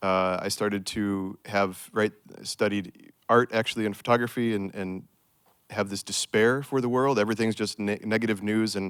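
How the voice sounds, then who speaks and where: A fairly low male voice with an American accent, flat and monotone, dry and close with no echo, on a very clean recording against a silent background. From United States. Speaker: restoration ecologist, project manager. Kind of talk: panel discussion.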